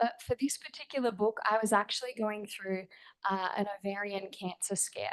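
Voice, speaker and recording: Speaking fairly quickly, a woman has an ordinary speaking voice. Her pitch is medium. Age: 30s. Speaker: author and speaker. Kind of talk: panel talk at book launch. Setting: event with audience.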